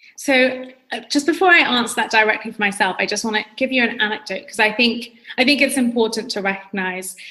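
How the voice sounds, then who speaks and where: A woman talks at a very fast pace, her pitch fairly high. Her tone is bright and sharp, with ordinary pitch variation. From London, England. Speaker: entrepreneur and public speaking coach. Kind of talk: podcast interview. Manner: articulate, conversational with fillers.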